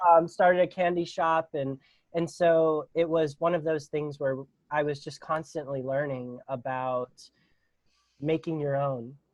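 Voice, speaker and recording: A man with a Pittsburgh accent, at a moderate pace and with fairly even intonation. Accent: American, Pittsburgh. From Pittsburgh, Pennsylvania, US. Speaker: non-profit founder. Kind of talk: podcast interview. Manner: halting, many fillers.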